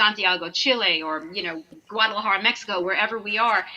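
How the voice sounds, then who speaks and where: A woman talks at a fairly quick pace in a New York accent, with fairly even intonation. Background noise is noticeable. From Long Island, New York. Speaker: singer in a performing group. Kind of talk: casual chat.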